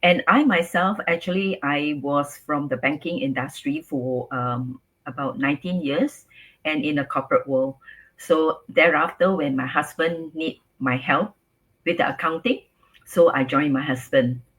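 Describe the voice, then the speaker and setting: A woman's very deep, low voice with a Singaporean accent. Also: lively intonation, moderate pace. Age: 60s. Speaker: businesswoman and grandmother. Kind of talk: interview.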